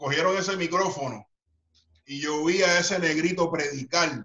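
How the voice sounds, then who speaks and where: A man talks at a high pitch with ordinary pitch variation. His pace is fairly slow. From Puerto Rico, Carolina. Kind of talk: interview. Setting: video call.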